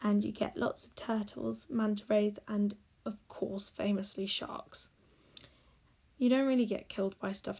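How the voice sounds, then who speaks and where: At a fairly slow pace, a woman with a British accent speaks at medium pitch, her loudness swinging widely. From Great Britain. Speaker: digital artist. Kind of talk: narrated speed-paint tutorial.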